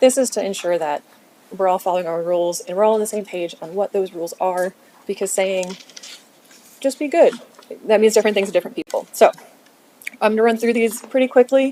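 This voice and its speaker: A woman at a medium pitch speaks at a very fast pace with ordinary pitch variation, yet leaves long, frequent pauses. The sound is dry and close with no echo, with noticeable background noise. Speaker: city staff presenter. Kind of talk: training presentation.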